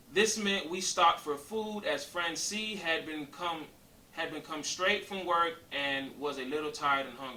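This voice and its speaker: A man's fairly high pitch and lively intonation at a moderate pace, with audible room echo and noticeable background noise. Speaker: YouTuber co-host of couples channel. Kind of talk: reading aloud with commentary. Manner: halting, stumbles over words.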